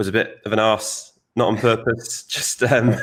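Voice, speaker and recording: With a Manchester accent, a man speaks at a fairly slow pace and a fairly low pitch. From northern England, Stockport (South Manchester). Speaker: designer. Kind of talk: podcast interview.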